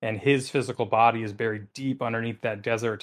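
Over a quiet background, a man with an Upper Midwest accent uses lively intonation at a medium pitch and a fairly quick pace. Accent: Upper Midwest American. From central Wisconsin. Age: 30s. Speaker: tabletop game master. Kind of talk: casual interview.

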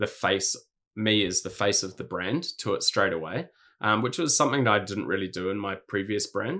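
With a New Zealand accent, a man speaks at a fairly low pitch in a bright, sharp tone. The pace is moderate, on a very clean recording with a silent background. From New Zealand, Hawke's Bay. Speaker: streetwear brand founder. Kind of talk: casual interview chat.

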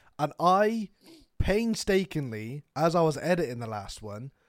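A man with a British accent at a fairly slow pace, very wide pitch swings, in a very clean recording with a silent background. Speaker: podcast co-host. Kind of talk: casual chat.

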